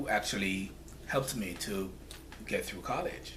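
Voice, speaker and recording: With audible room echo and noticeable background noise, a man's voice comes through. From Jamaica (rural St. Thomas parish). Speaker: nonprofit founder. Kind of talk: interview.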